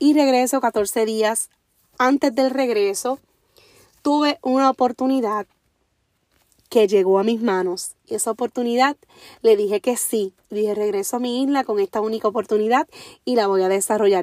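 The speech is animated, at a moderate pace with ordinary pitch variation and long, frequent pauses. The sound is dry and close, with no echo. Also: woman, fairly high pitch for a woman. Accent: Puerto Rican. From Puerto Rico, Orocovis. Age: 30s. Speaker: podcast host, motivational speaker. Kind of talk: motivational monologue.

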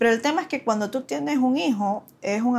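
A woman with an unremarkable speaking voice uses lively intonation in a very clean recording with a silent background. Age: 30s. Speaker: lawyer and young mother. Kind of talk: casual interview chat.

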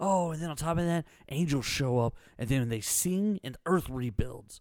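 Speaking at a fairly slow pace with long, frequent pauses, a man has a fairly high pitch. His tone is animated and his intonation lively. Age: 30s. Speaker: radio host. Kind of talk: casual chat. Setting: studio.

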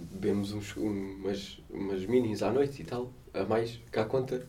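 Somewhat breathy, a man speaks at a moderate pace in a dark, mellow tone of medium pitch with ordinary pitch variation. Audible room echo surrounds him. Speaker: podcast co-host. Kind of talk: casual chat.

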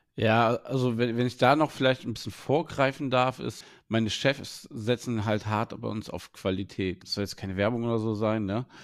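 Here is an ordinary speaking voice from a man at medium pitch. He moves at a moderate pace with hardly any pauses and fairly even intonation. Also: very clean recording, silent background. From Germany, Wuppertal. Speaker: head chef. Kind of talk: interview.

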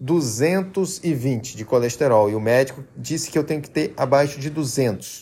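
A man's fairly high, somewhat breathy, dark and mellow voice, fairly slow, with lively intonation, in a very clean recording with a silent background. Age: 30s. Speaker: health podcaster. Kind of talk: persuasive monologue.

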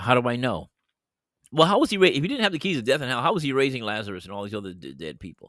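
A man talks at a very fast pace in a medium-pitched voice with vocal fry. His pitch swings very widely and his loudness shifts a lot. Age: 60s. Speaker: podcast host and bible teacher. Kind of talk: bible teaching monologue. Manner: halting, many fillers.

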